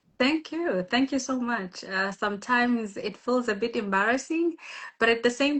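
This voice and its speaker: Speaking at a fairly slow pace, a woman with a South African accent has a fairly high-pitched voice. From South Africa, Limpopo village. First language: Tshivenda. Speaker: guest speaker on women's empowerment live. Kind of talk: live interview. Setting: Instagram live video. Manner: hesitant, many fillers.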